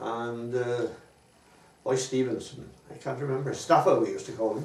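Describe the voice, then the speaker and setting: Speaking with a South Welsh accent, a man keeps a moderate pace, medium pitch and fairly even intonation. Audible room echo and noticeable background noise fill the recording. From Wales, Pembrokeshire. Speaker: war veteran. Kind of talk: oral history interview. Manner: halting.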